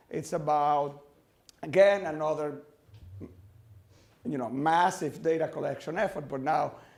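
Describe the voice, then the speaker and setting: A man's voice carries audible room echo. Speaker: finance professor. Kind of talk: academic lecture. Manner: fast; halting, many fillers.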